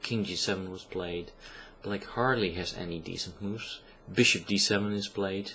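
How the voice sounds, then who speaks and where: A man speaks in a fairly low pitch with a bright, sharp tone. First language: not English. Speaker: chess commentator. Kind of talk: game analysis commentary. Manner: hesitant, many filler sounds.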